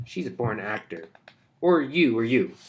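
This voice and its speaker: Putting on a character voice, a man speaks at a medium pitch and a moderate pace with very wide pitch swings. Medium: read story. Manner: complaining.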